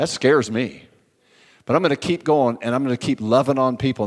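A man talks at a very fast pace in an animated tone. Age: 60s. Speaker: guest pastor. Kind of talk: sermon. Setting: church.

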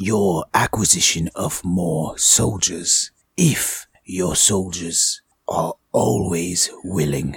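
A man performs a put-on character voice. The pitch sits very deep and low. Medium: actual play. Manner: formal, measured.

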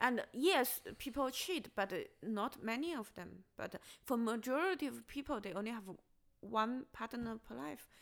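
In a Chinese accent, a woman speaks at a moderate pace with a fairly high pitch, lively intonation, vocal fry and big swings in loudness. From China. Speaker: stand-up comedian. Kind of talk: casual chat. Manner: halting, hesitant.

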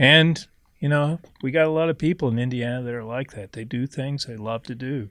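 Heard dry and close with no echo, a man with an American accent uses a normal speaking voice with ordinary pitch variation. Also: medium pitch for a man, fairly quick pace. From Missouri, the Ozarks. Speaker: fly shop owner. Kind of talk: casual chat. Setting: fly shop.

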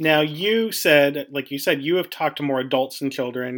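Fairly quick and fairly high in pitch, a man talks with a plain, everyday voice in an American accent. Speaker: podcast host and local council member. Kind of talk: interview.

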